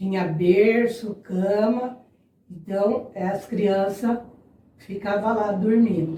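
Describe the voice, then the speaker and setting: With audible room echo, a woman speaks very slowly at medium pitch, her dark, mellow tone somewhat breathy and her intonation fairly even. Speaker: documentary interviewee. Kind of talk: interview testimony.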